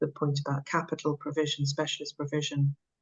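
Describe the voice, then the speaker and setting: A woman's very deep, low pitch comes across somewhat breathy. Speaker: council officer presenting at schools forum. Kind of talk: formal meeting presentation. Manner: fast; halting, many fillers.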